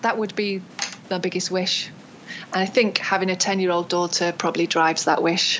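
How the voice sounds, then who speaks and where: With a British accent, a woman talks at a fairly quick pace in monotone, flat intonation against noticeable background noise. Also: medium pitch for a woman. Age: 40s. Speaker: acupuncturist and craniosacral therapist. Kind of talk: interview.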